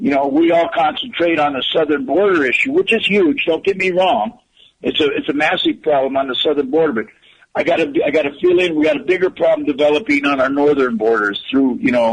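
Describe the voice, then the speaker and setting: A man with an unremarkable speaking voice talks at a fairly quick pace, fairly high in pitch, with lively intonation and very even loudness. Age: 60s. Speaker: political delegate and activist. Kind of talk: political talk radio discussion.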